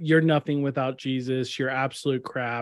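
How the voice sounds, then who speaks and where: This man has a Texan accent. His pitch sits fairly high. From Kerrville, Texas. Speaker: podcast co-host. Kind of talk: casual chat.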